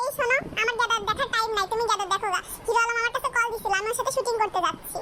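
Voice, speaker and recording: Over light background noise, a woman does a squeaky, cartoonish character voice at an extremely high pitch, talking very fast with fairly even intonation. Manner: dramatic, flighty.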